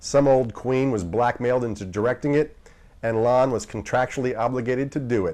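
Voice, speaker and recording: At a fairly quick pace, a man speaks in a normal speaking voice with medium pitch and ordinary pitch variation. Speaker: horror movie TV host. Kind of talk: TV horror host intro and outro. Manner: sardonic, wry.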